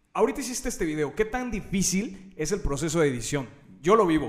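A man with a Mexican accent speaks at a moderate pace. His intonation is lively. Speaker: podcast host. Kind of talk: show outro; casual interview.

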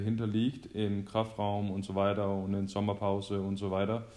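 In a room with audible echo, a man with a fairly low pitch speaks in a monotone, flat intonation. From Denmark. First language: Danish (speaking German). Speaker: professional handball player. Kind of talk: casual chat. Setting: phone call.

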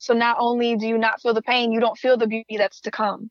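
Delivered at a fairly quick pace, the speech has an American accent and a monotone, flat intonation. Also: woman. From Joliet, Illinois, US Midwest. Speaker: spoken word artist. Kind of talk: casual interview, personal life story. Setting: phone call.

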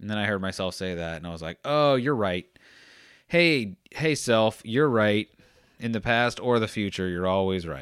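With an unremarkable speaking voice, a man talks at a moderate pace, his fairly low pitch carrying lively intonation. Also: very clean recording, silent background. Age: 30s. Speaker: podcast host. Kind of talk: solo monologue. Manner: rambling, self-interrupting.

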